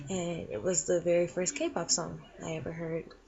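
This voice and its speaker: With an American accent, a woman uses a normal speaking voice at a moderate pace and a fairly low pitch. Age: 20s. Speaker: K-pop fan. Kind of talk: interview answers.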